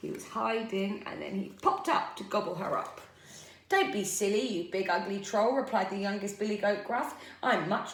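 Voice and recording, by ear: The intonation stays fairly even as a passage is read aloud in a natural voice.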